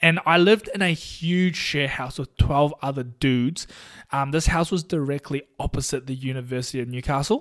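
A man speaks at a moderate pace with a New Zealand accent, his fairly high pitch showing ordinary variation. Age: 20s. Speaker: podcast host and physiotherapist. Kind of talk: casual solo podcast monologue.

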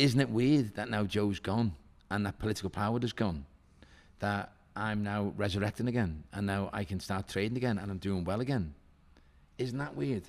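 Speaking at a moderate pace with an ordinary amount of pitch variation, a man with a Liverpool accent uses a fairly low voice, recorded very cleanly against a silent background. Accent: Scouse. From Liverpool (Walton), northern England. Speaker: hotelier and property developer. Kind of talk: podcast interview.

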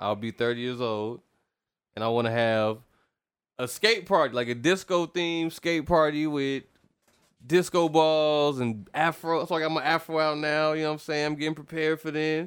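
Over a silent background in a very clean recording, a man with an unremarkable speaking voice and a fairly high pitch talks at a moderate pace with ordinary pitch variation. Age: 20s. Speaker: podcast co-host, musician. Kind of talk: casual chat.

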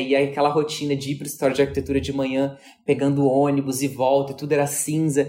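A man speaks at a very fast pace, fairly high in pitch. Music plays in the background. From Brazil, Mato Grosso. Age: 30s. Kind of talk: interview.

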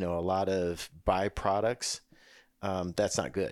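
On a very clean recording with a silent background, a man with an unremarkable speaking voice talks at a moderate pace, fairly low in pitch and fairly even in intonation. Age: 60s. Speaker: doctor, health expert co-host. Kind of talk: casual chat, explanatory. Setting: studio.

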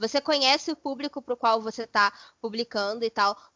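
A woman talks in a high voice at a moderate pace. Her pitch varies in an ordinary way. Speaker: podcast co-host. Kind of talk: casual chat.

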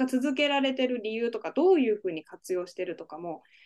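Pitch swings very widely here. The pace is fairly quick. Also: woman. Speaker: podcast host and nurse. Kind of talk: interview, casual conversational.

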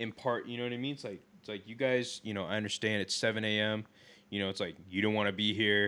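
In a very clean recording with a silent background, a man with a fairly low pitch and a bright, sharp tone speaks at a very fast pace with fairly even intonation. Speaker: podcast co-host. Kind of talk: casual chat. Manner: rambling, filler words.

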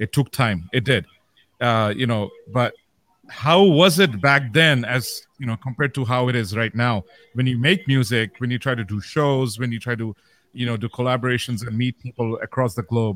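Here a man with a Bengali accent speaks at a moderate pace and medium pitch, with ordinary pitch variation. The sound is dry and close, with no echo. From Saudi Arabia. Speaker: beatboxer. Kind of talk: casual chat.

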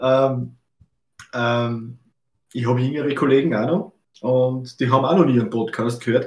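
Speaking with an Austrian accent at a medium pitch, a man keeps a moderate pace with ordinary pitch variation and long, frequent pauses. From Austria, Lower Austria (Melk). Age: 30s. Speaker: photographer, podcast co-host. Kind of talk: casual chat. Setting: video call from his photo studio.

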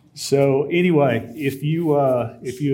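A man speaks in a dark, mellow tone at a fairly high pitch. His intonation is fairly even, and audible room echo surrounds him. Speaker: lay preacher. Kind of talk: sermon. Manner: halting, many filler words.

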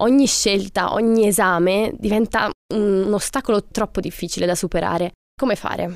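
An ordinary speaking voice at a moderate pace with fairly even intonation, dry, close sound with no echo, and a very clean recording with a silent background. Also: woman. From Italy. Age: 20s. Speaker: student, author and podcast co-host. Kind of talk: podcast conversation.

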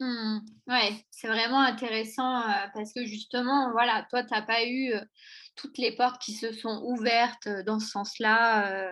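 A woman speaks very slowly at a fairly high pitch. Her intonation is monotone and flat. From France, Auvergne. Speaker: podcast host. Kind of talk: interview.

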